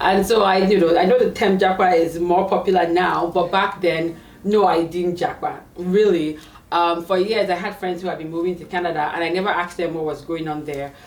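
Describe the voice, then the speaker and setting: A woman's fairly low voice with a Nigerian accent, fairly quick pace and fairly even intonation, amid audible room echo and noticeable background noise. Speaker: tech career coach. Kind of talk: interview.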